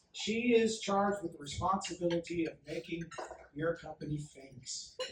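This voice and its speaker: Delivered at a moderate pace, the speech comes with noticeable background noise. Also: man. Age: 60s. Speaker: advertising and marketing speaker. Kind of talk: presentation to an audience. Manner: animated.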